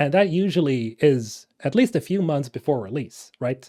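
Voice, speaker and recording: This man's pitch is fairly high, yet his tone is dark and mellow, with ordinary pitch variation. He keeps a moderate pace in a very clean recording with a silent background. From Sweden. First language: Swedish. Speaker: gaming YouTuber. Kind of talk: casual talking-head commentary. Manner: casual, many filler words.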